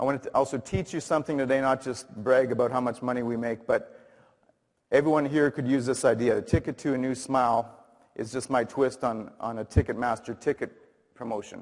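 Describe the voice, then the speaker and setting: A man talks at a medium pitch with fairly even intonation. His pace is fairly quick. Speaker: dentist giving a talk. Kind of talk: conference presentation. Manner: loud; halting, many fillers.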